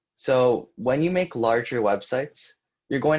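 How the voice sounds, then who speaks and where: Here is an ordinary speaking voice from a man at a medium pitch. His intonation is lively. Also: quiet background. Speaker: coding instructor. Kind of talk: live coding tutorial. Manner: casual with fillers.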